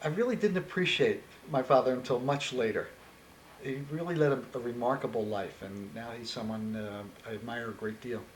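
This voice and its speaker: A man with an American accent and a medium pitch speaks with lively intonation amid noticeable background noise and audible room echo. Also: fairly quick pace. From US Northeast, Philadelphia. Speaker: interviewee. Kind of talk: oral history interview. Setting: on camera interview. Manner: halting.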